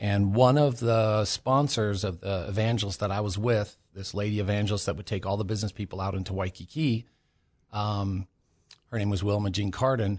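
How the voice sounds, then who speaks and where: A normal speaking voice in an American accent, fairly quick and fairly even in intonation, against a quiet background. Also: man, fairly low pitch for a man. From California. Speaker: missionary. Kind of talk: testimony.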